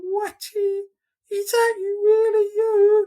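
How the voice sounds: This put-on character voice is squeaky and extremely high, delivered at a very slow pace with monotone, flat intonation.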